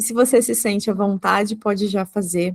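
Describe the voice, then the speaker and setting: In a dry, close recording with no echo, a woman with an ordinary speaking voice talks at a moderate pace and medium pitch, with ordinary pitch variation. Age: 30s. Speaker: psychologist podcast host. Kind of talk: podcast interview.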